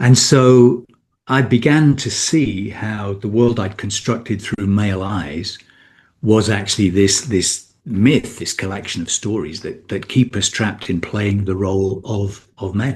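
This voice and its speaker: In a British accent, a man talks fairly slowly in a fairly low, somewhat breathy voice. His pitch varies in an ordinary way over a quiet background. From Britain. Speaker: men's coach. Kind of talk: podcast interview. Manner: halting, many repetitions.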